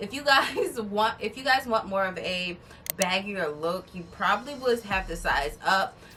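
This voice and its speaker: Over music in the background, a woman speaks in an animated tone at a moderate pace. Her pitch is medium and varies in an ordinary way. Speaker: beauty and fashion vlogger. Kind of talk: try-on haul vlog. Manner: loud.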